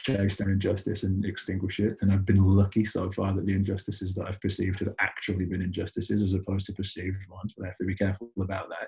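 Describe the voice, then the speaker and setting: In an English accent, a man talks at a very fast pace in a fairly low, dark, mellow voice that is somewhat breathy. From United Kingdom. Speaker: entrepreneur. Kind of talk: interview conversation. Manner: casual, with many fillers and repeats.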